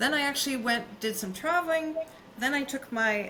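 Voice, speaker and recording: Over noticeable background noise and audible room echo, a woman speaks with a Canadian accent. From Canadian prairies. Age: 60s. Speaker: business consultant. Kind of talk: podcast interview. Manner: halting, many fillers.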